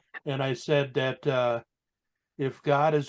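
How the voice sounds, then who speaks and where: The voice is an unremarkable speaking voice, with fairly even intonation. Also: man. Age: 60s. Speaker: biker, motorcycle club member. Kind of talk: casual chat.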